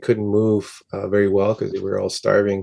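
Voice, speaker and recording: Over a quiet background, a man talks at a moderate pace with a fairly low pitch. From northern Ontario, Cree First Nation community. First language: Cree. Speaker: musician. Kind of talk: interview. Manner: halting, many fillers and repeats.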